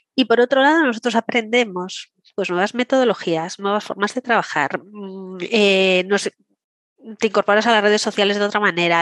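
Her loudness very even, a woman speaks in a normal speaking voice with ordinary pitch variation. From Galicia, Santiago de Compostela. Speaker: director of a senior education association. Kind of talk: interview.

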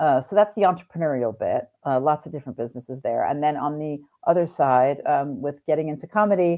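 A woman talks at a very fast pace in a very deep, low pitch. Her pitch varies in an ordinary way. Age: 50s. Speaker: comedian and entrepreneur. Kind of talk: casual chat. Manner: animated, frequent laughter.

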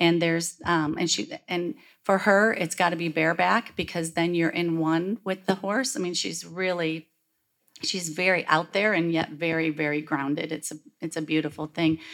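On a very clean recording with a silent background, a woman with an American accent and a plain, everyday voice speaks at a moderate pace, with a fairly low pitch and ordinary pitch variation. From Michigan. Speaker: rancher. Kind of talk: panel discussion. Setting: stage with audience.

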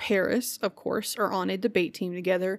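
The recording is very clean against a silent background. On it, a woman talks at a moderate pace. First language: sign language. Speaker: podcast co-host. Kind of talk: casual chat.

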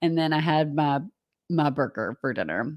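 At a moderate pace, a woman speaks with a Southern US accent on a very clean recording with a silent background. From US South. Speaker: co-presenter sharing theme park travel tips. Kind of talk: casual chat.

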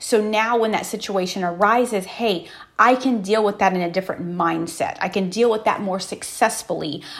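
Over noticeable background noise, a woman talks at a moderate pace and medium pitch with ordinary pitch variation. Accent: American. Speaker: motivational podcast host. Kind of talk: motivational monologue. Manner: conversational, many fillers.

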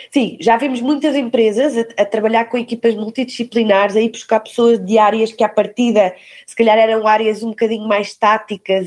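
A woman talks at a fairly quick pace in a normal speaking voice. Her pitch is fairly high, with fairly even intonation. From Portugal, Algarve. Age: 40s. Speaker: recruitment director. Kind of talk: podcast interview.

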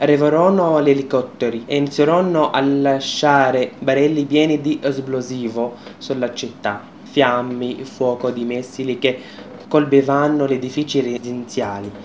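Over noticeable background noise, a man with an Arabic accent speaks at a fairly high pitch with fairly even intonation. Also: fairly slow pace. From Syria, Homs. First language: Arabic (speaking Italian). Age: 20s. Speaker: refugee student and radio presenter. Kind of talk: personal testimony.

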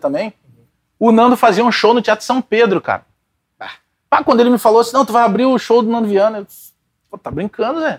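At a very fast pace yet with long, frequent pauses, a man with a southern Brazilian accent speaks in a high pitch, the sound dry and close with no echo. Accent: gaúcho Brazilian Portuguese. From Porto Alegre, Rio Grande do Sul, Brazil. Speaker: radio sports commentator and comedian. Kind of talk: casual interview chat. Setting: pub.

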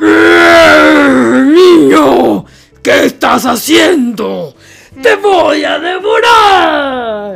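A put-on character voice at a very slow pace over faint background music. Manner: shouted, angry.

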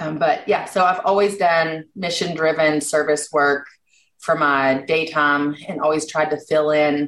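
In a Kentucky Appalachian accent, a woman talks fairly slowly at a very deep, low pitch, her intonation fairly even. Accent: Kentucky Appalachian American. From Eastern Kentucky. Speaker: health policy advocate. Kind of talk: podcast interview.

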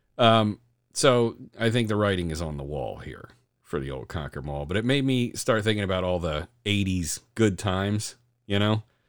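A man with an American accent talks at a moderate pace in a normal speaking voice. His fairly low pitch carries lively intonation on a very clean recording with a silent background. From Delaware County, Pennsylvania. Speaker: podcast host. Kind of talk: casual chat.

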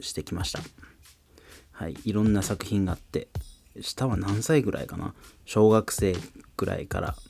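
Long, frequent pauses break up a man's speech at a moderate pace. His pitch is fairly low and varies in an ordinary way. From Fukuoka, Japan. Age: 30s. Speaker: tatami craftsman and rapper. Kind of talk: casual solo podcast talk.

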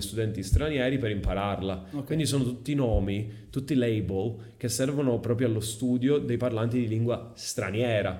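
The tone is dark and mellow. Room echo is audible. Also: man. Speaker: English teacher and content creator. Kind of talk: casual interview.

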